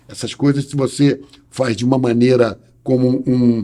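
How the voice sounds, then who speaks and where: A man's dark, mellow voice at a medium pitch, monotone with flat intonation. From Brazil, Rio de Janeiro. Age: 60s. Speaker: lawyer. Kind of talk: interview. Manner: hesitant with repetitions.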